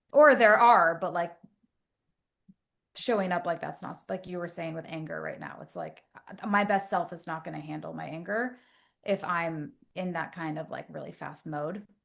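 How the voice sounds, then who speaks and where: A woman at a fairly low pitch with vocal fry and an animated tone, moderate pace, long and frequent pauses, big swings in loudness, ordinary pitch variation, and a quiet background. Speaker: therapist. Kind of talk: casual chat.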